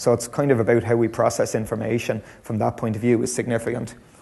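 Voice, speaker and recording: With a Dublin accent, a man talks at a very fast pace in a dark, mellow tone. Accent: Irish, Dublin. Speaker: lecturer. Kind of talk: conference talk. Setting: stage with audience.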